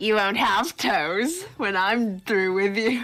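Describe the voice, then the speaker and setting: Speaking at a very slow pace, a female-sounding put-on character voice sits fairly high in pitch for a woman. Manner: creepy, slow, menacing.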